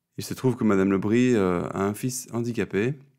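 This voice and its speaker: The voice has a dark, mellow tone and fairly even intonation, captured in a very clean recording with a silent background. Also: man. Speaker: speech therapist and interviewer. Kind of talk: interview.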